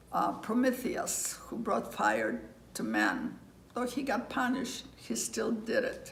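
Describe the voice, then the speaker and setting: A very slow delivery in a Greek accent. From Greece. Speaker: interviewee. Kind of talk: interview. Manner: halting.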